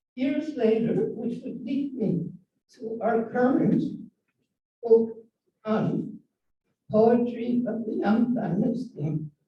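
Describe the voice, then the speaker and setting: Dark, mellow tone at a very slow pace, with ordinary pitch variation and audible room echo. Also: woman. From Dominican Republic. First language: Spanish. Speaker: student of Chinese poetry, retired scientist. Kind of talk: prepared talk with slides. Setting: event venue, streamed online.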